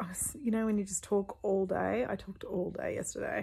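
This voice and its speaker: At a moderate pace, a woman is speaking. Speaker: book vlogger. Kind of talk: casual vlog chat. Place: home room. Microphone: phone near.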